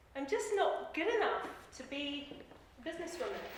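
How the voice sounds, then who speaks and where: A woman's loud voice with lively intonation, amid noticeable background noise and audible room echo. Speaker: life coach and speaker. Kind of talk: personal storytelling talk.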